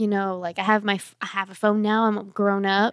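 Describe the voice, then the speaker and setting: A woman with a normal speaking voice talks at medium pitch and a moderate pace in a very clean, dry, close recording with a silent background and no echo. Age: 20s. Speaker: young church member and barrel racer. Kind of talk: testimony.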